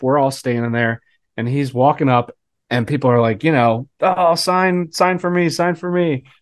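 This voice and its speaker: Over a quiet background, a man with an unremarkable speaking voice and fairly high pitch talks at a fairly slow pace with ordinary pitch variation. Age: 30s. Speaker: co-host. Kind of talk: casual chat.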